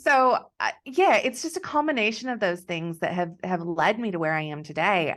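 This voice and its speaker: A woman with an American accent uses lively intonation at a fairly low pitch. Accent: American accent, noticeable. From Texas. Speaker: business coach. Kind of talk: podcast interview.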